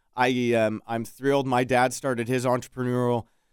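A man with a plain, everyday voice speaks at medium pitch and a moderate pace, the sound dry and close with no echo on a very clean recording with a silent background. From Alberta, Edmonton area. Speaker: local business owner. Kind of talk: radio interview. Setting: studio.

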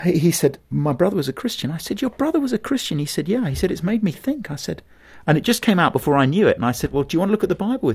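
A man with a southern British accent, high pitch, very wide pitch swings and a very fast pace. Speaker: pastor and evangelist. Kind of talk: interview conversation.

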